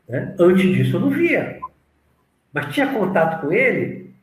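A high-pitched man's voice with audible room echo. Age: 60s. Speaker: spiritualist teacher. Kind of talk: interview.

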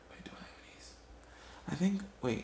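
A fairly quick, high-pitched man's voice with lively intonation and audible room echo. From Ghana. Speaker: storyteller podcaster. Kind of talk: comedic storytelling monologue. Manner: halting, frequent repetitions.

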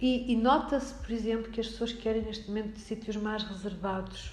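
Very fast, monotone speech with flat intonation, audible room echo and noticeable background noise. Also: woman. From Portugal, Alcobaça. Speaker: lecturer. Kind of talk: interview. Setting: municipal library room.

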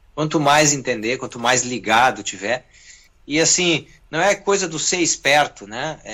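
A man with an unremarkable speaking voice talks fairly slowly at a fairly high pitch, his intonation lively. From southern Brazil (Rio Grande do Sul). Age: 40s. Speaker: guitarist and music producer. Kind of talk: interview.

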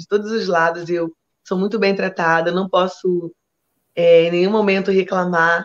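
Woman at medium pitch and moderate pace. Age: 50s. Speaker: samba school flag bearer. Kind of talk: interview. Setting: video call from home sofa. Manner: animated.

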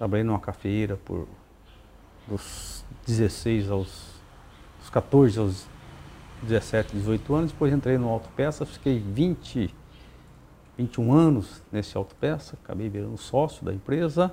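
Speaking at a very slow pace with long, frequent pauses, a man at medium pitch has lively intonation. His tone is dark and mellow, and somewhat breathy. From Paraná, Brazil (Terra Rica). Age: 60s. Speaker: mayor. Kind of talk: interview. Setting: at the guest's home.

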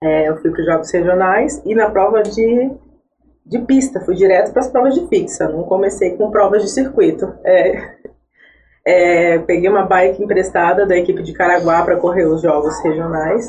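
This woman has a plain, everyday voice, medium in pitch, with ordinary pitch variation and a moderate pace. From born in Iraq, raised in São José, Brazil. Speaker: track cyclist. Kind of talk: podcast interview.

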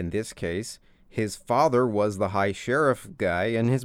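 A man with a US Midwestern accent on a very clean recording with a silent background. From rural Indiana, US Midwest. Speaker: podcast host. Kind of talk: casual monologue. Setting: home office. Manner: loud.

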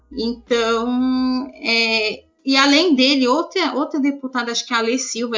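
Amid noticeable background noise, a woman's speech carries ordinary pitch variation. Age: 20s. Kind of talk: interview. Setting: Skype call.

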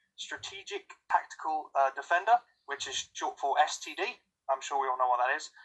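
At a moderate pace, a man talks in a British accent with ordinary pitch variation. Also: fairly high pitch for a man. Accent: British, sometimes taken for Australian. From England. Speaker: voice actor and writer. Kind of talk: casual chat. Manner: hesitant, many fillers.

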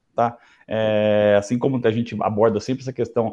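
Here a man talks at a fairly quick pace. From Brazil, interior of São Paulo state. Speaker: lawyer. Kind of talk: casual interview.

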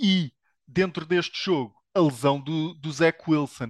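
A man with a European Portuguese accent speaks at a very slow pace in a high voice. His intonation is fairly even, and the sound is dry and close with no echo. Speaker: NFL commentator. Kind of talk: casual sports panel discussion.

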